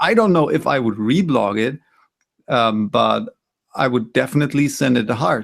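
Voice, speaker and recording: With a German accent, a man speaks at medium pitch and a moderate pace, his intonation lively, his loudness very even, and his pauses long and frequent. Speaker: photography community admin, co-host. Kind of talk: casual critique discussion.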